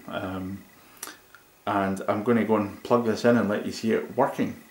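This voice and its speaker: A man with a Scottish accent talks at a moderate pace. His intonation is monotone and flat. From Scotland. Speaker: tech reviewer. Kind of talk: product review. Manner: casual with many fillers.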